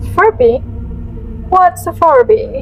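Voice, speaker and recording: Over clear background noise, a woman performs a put-on character voice. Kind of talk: horror bedtime story. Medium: read story.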